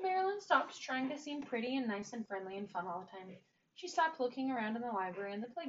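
This is plain reading aloud delivered with lively intonation.

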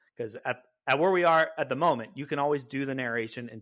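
Over a silent background in a very clean recording, a man with a General American accent talks at a very fast pace, his medium-pitched voice carrying lively intonation. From California. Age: 30s. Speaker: content creator. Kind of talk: casual chat.

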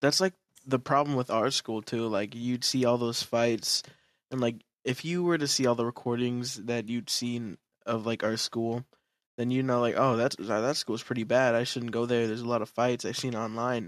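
With a plain, everyday voice, a man speaks at medium pitch and fairly even intonation in a dry, close sound with no echo, on a very clean recording with a silent background. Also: moderate pace. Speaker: podcast guest. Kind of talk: casual chat.

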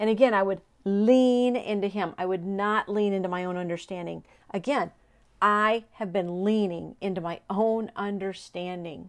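A woman speaks at a medium pitch with fairly even intonation and a moderate pace. The recording is very clean with a silent background, and she has an ordinary speaking voice. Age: 50s. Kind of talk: devotional monologue.

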